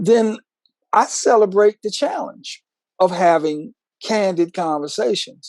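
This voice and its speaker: A man with an American accent speaks at a fairly slow pace. His intonation is lively. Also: dry, close sound with no echo. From Washington DC. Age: 60s. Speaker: podcast co-host. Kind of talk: casual interview conversation. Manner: animated.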